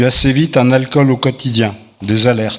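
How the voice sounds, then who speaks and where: Intonation stays fairly even and the pace is fairly slow. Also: man. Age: 60s. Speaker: recovering alcoholic giving testimony. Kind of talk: testimony, partly read aloud.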